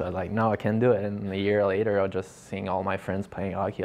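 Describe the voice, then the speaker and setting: With a French accent, a man speaks at a very fast pace in a fairly low voice over light background noise. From Quebec. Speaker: professional hockey player. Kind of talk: interview. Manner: halting, with many fillers and repeats.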